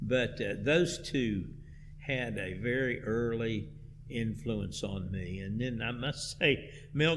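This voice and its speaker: A man's very slow speech with vocal fry, in an American accent, with audible room echo. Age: 70s. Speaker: church music director. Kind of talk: interview.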